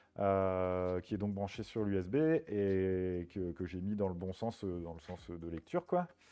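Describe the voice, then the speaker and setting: At a very slow pace yet with hardly any pauses, a man with a very deep, low pitch talks using ordinary pitch variation. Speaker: streamer. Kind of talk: casual chat. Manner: halting, many fillers.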